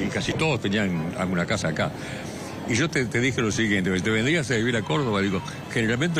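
A man talks at a fairly quick pace with lively intonation. The sound is dry with no echo, and there is noticeable background noise. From Argentina. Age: 80s+. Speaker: radio and TV presenter. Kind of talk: interview answer. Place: station.

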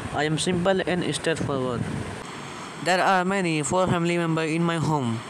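Noticeable background noise behind a man talking with ordinary pitch variation. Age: young. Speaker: commerce student. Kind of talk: self-introduction to camera.

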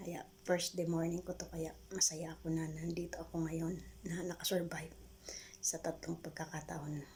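Speech at a moderate pace over noticeable background noise. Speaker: vlogger. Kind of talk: personal testimony.

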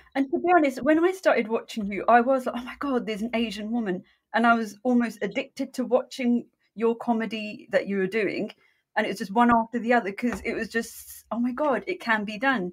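Her pitch is fairly high and varies in an ordinary way. The woman keeps up a fairly quick pace. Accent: British. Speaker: podcast co-host. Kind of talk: casual interview chat.

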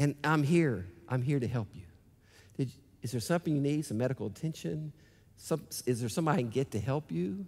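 A man talks at a very fast pace in an animated tone with lively intonation, somewhat breathy, yet leaves long, frequent pauses. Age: 60s. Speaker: pastor. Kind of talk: sermon. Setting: church. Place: church. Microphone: headset.

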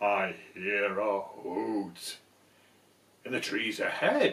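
A man speaks very slowly in a put-on character voice with a fairly low pitch. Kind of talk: bedtime story.

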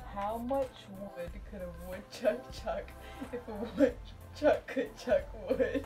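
Clear music plays behind a woman who speaks at a very slow pace. Her loudness swings widely, and her pauses are long and frequent. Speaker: friend reading phrases. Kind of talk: casual friendly banter. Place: home room. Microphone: camera far.

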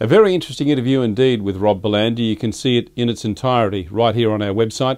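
Very fast and with ordinary pitch variation, a man talks over a quiet background. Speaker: show host. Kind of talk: presenter introduction. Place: studio. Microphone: studio mic.

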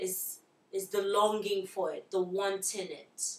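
At a very slow pace, a woman speaks with ordinary pitch variation and audible room echo. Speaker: interviewee. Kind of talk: interview answer. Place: home room.

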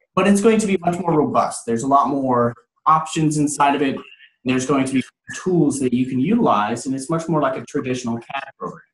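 Delivered at a fairly quick pace, the speech carries audible room echo. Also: man. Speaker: 3D printing trainer. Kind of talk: tutorial. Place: office. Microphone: video call.

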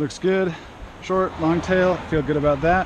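A man's fairly slow speech, dry with no echo, against noticeable background noise. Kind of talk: tutorial. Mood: relaxed, upbeat. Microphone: phone near.

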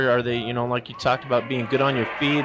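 A man talks at a very fast pace, the sound dry with no echo despite loud background noise. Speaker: swimming instructor, color commentator. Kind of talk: live sports commentary, color analysis. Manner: casual, curious, hesitant with fillers. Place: hall.

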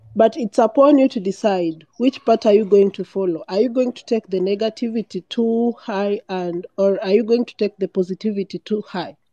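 A dark, mellow voice at a moderate pace with hardly any pauses, big swings in loudness and ordinary pitch variation, dry with no echo over a quiet background. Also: woman, fairly high pitch for a woman. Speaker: guest audience member; guest. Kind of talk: encouraging speech. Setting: online audio call. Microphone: phone near.

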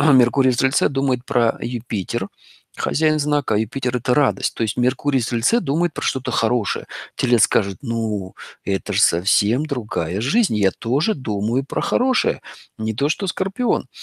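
Lively intonation marks a plain, everyday voice moving at a moderate pace, recorded in a dry, close sound with no echo. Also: man, medium pitch for a man. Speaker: astrologer. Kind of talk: lecture. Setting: live online broadcast with audience in hall.

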